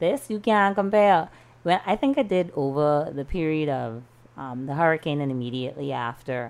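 With a Bahamian accent, a woman speaks at a moderate pace, her very deep, low pitch carrying lively intonation. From Bahamas, Freeport, Grand Bahama. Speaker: freelance journalist. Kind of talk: casual chat.

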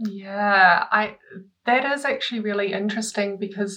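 With a New Zealand accent, a woman speaks fairly slowly in a medium pitch, her tone bright and sharp and her intonation monotone and flat. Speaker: artist. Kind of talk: casual interview chat.

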